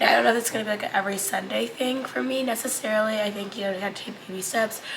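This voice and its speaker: A woman speaks at medium pitch, with audible room echo and noticeable background noise. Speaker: lifestyle vlogger. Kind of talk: casual vlog talk. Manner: casual, filler-heavy.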